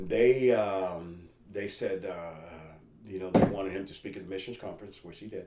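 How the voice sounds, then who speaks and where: A man at a moderate pace with fairly even intonation and big swings in loudness, over noticeable background noise. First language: Spanish. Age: 50s. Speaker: missionary. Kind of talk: interview testimony.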